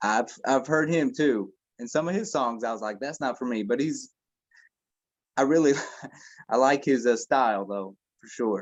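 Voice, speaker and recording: A man with an American accent speaks at a moderate pace and medium pitch, with ordinary pitch variation, big swings in loudness and long, frequent pauses. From northeast Indiana, then Kentucky from sixth grade. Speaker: rapper. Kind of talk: casual interview.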